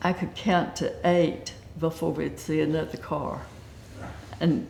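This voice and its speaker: Heard with audible room echo, this Southern US accent comes at a fairly slow pace. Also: woman. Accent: Southern US (Georgia). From US South, Georgia (Acworth). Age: 70s. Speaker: retiree interviewed for local oral history. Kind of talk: oral history interview.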